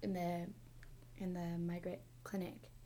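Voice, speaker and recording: The voice has a dark, mellow tone, heard with audible room echo. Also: woman. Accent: American. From Montana. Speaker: podcast host, university staff. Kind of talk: casual interview.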